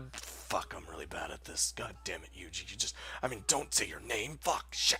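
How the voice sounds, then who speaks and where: A man whispers in a put-on character voice. He keeps a moderate pace against clear background noise. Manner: remorseful, flustered.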